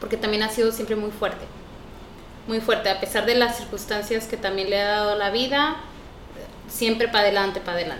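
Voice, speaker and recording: A woman's fairly high-pitched voice with fairly even intonation and long, frequent pauses, plus noticeable background noise and audible room echo. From Mexico, Chihuahua (near Parral). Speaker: interpreter and business owner. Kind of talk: casual interview.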